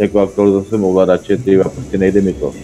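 The pace is fairly quick. Noticeable noise runs in the background. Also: man. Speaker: online gamer. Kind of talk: casual gaming chat.

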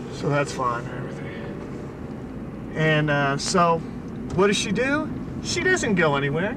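With noticeable background noise behind him, a man speaks at a fairly slow pace with long, frequent pauses. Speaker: storyteller. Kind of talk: casual monologue in a car. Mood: exasperated, sarcastic. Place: car. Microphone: old recording.

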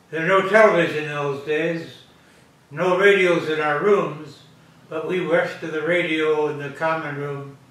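A man talks at a fairly slow pace with fairly even intonation. Audible room echo fills the recording. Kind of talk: interview answer. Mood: reflective, anecdotal. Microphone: camera far.

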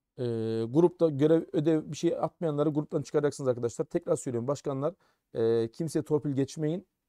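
A man's dark, mellow tone at fairly high pitch, fairly even intonation and a fairly quick pace, over a quiet background. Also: dry sound with no echo. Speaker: Arabic lecturer at a theology faculty; Arabic teacher running a study program. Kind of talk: live-stream briefing and Q&A. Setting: live stream. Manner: raising voice to be heard. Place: office. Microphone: too quiet for some viewers; webcam.

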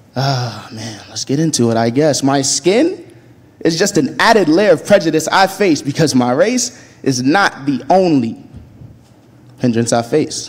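The voice moves at a fairly slow pace with lively intonation. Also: man, fairly high pitch for a man.

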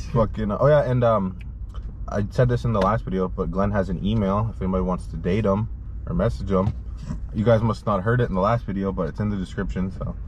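A man with a very deep, low pitch talks at a very fast pace, his pitch swinging very widely and his voice showing vocal fry. The sound is dry with no echo, and there is light background noise. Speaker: channel host. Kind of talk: casual vlog chat. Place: car. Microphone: phone near.

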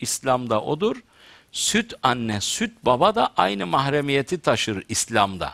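A man's bright, sharp voice at a very slow pace, with very wide pitch swings, in a quiet background. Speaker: theologian talk show host. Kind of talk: religious talk to studio audience. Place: studio. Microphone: headset.

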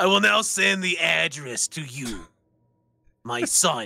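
A man's raspy, put-on character voice, medium in pitch, fairly slow, with very wide pitch swings. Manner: playful.

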